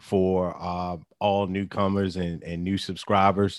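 On a very clean recording with a silent background, a man can be heard. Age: 40s. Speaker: podcast co-host. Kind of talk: casual chat. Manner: halting, many fillers.

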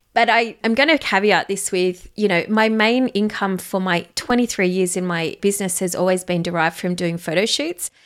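A woman with an Australian accent speaks at a moderate pace in a medium pitch, with hardly any pauses. The recording is very clean, the background silent. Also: ordinary pitch variation. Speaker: podcast host and photographer. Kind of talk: solo podcast monologue, reflection.

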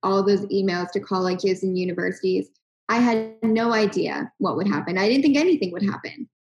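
This woman has an unremarkable speaking voice. Her medium pitch shows ordinary pitch variation. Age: 20s. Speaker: health tech startup co-founder. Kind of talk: interview.

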